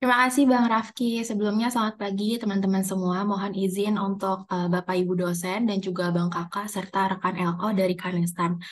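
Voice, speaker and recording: Somewhat breathy and medium in pitch, a woman talks at a fairly quick pace with hardly any pauses and fairly even intonation. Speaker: student liaison officer. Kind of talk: meeting briefing. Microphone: video call.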